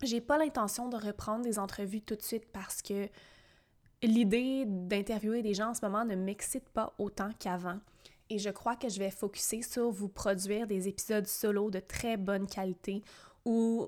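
A woman with an unremarkable speaking voice talks at a fairly slow pace and a medium pitch, her intonation fairly even, on a very clean recording with a silent background. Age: 20s. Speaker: podcast host, personal development coach. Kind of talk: solo monologue podcast; sales pitch.

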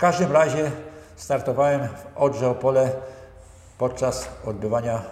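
At a fairly high pitch, a man's voice carries audible room echo. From central Poland, Bełchatów area. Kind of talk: interview.

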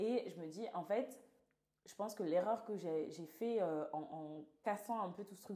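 A woman's ordinary speaking voice at a medium pitch with ordinary pitch variation. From southern France. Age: 20s. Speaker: podcast host. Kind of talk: casual chat.

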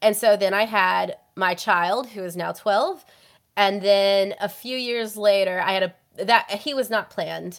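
A woman speaks with medium pitch and ordinary pitch variation in an unremarkable speaking voice. The recording is very clean, with a silent background. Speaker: guest, writer. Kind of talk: casual chat.

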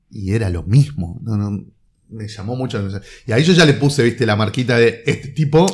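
Fairly quick, somewhat breathy delivery with lively intonation. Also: man, medium pitch for a man. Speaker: comics critic. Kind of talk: casual chat.

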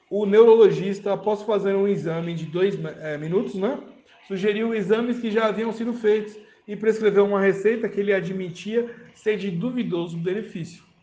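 A man with a Brazilian accent talks at a high pitch and moderate pace with fairly even intonation, over audible room echo. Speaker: podcast host reading a medical article. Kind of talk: reading aloud with commentary. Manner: halting, with filler words.

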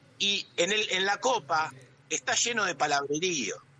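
The pace is fairly slow. A man talks with lively intonation. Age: 50s. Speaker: architect, illustrator and sommelier. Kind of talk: interview.

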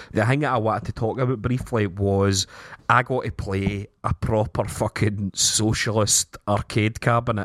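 A man's medium-pitched voice with a Scottish accent, moderate pace, fairly even intonation, and a dry, close sound with no echo. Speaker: podcast host. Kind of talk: casual chat.

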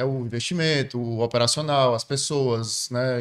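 With a plain, everyday voice, a man keeps a medium pitch and fairly even intonation. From Ceará, Brazil. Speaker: entrepreneur. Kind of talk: casual interview chat.

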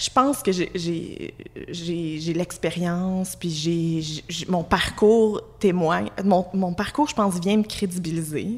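Speaking in a Quebec accent, a woman uses a medium pitch, ordinary pitch variation and a very slow pace. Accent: Québécois French. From Quebec, Abitibi (Amos). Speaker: employment lawyer. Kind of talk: casual chat.

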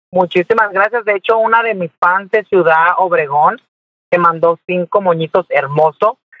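A man's high-pitched voice unfolds at a fairly slow pace, its pitch varying in an ordinary way. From Mexico, Jalisco. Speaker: social media comedian. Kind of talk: interview.

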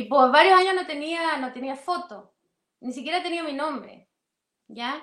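A woman talks in a high pitch with a bright, sharp tone. Her pace is fairly slow, and her pitch varies in an ordinary way. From outside Chile. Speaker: political analyst. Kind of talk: interview.

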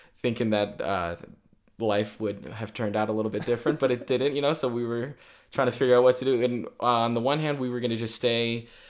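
Speaking with an American accent at a fairly quick pace, a man with a normal speaking voice and medium pitch keeps a fairly even intonation in a very clean recording over a silent background. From Virginia. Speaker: podcast co-host. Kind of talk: casual chat.

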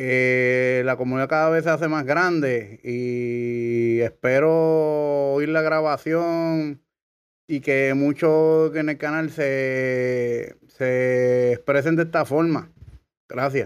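A man speaks with a Puerto Rican accent at a very slow pace. His intonation is fairly even, and his loudness stays very even. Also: fairly high pitch for a man. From Puerto Rico. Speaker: listener sending voice message. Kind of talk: recorded voice message. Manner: halting.

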